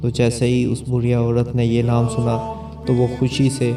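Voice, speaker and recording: A man at medium pitch, monotone and flat in intonation, with very even loudness and music in the background. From Pakistan. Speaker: voice over artist. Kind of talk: religious story narration.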